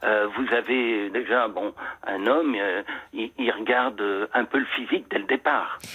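A man speaks at medium pitch in an ordinary speaking voice. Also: fairly even intonation, fairly slow pace. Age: 60s. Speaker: caller. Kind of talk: personal testimony on the phone. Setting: phone call.

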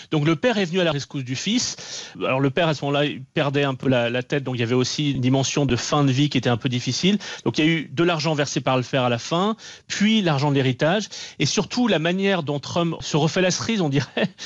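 Lively intonation runs through delivery that moves at a very fast pace. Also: man, fairly high pitch for a man. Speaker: journalist. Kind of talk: radio interview.

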